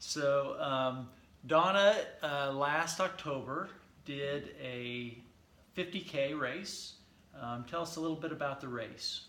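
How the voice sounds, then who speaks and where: A man with an American accent and a fairly high pitch speaks at a very slow pace, with ordinary pitch variation and long, frequent pauses. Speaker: physical therapist. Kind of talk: casual interview. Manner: casual, chatty.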